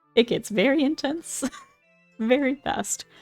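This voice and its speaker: Music plays in the background while a woman speaks at a fairly slow pace. The sound is dry and close, with no echo. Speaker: gaming commentator. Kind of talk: casual talk to camera. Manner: stutters at times.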